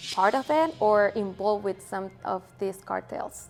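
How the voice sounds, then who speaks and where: Music plays in the background as a woman with a Mexican accent speaks with ordinary pitch variation. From Mexico. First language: Spanish. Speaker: interviewee sharing her country's culture. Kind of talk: interview answers. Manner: casual with many fillers.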